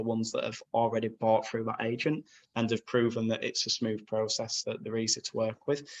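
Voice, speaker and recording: A man talks in a Yorkshire accent. He moves at a fairly quick pace. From northern England, Bradford, West Yorkshire. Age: 20s. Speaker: magazine owner and property sourcer. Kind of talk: podcast interview. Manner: casual, frank.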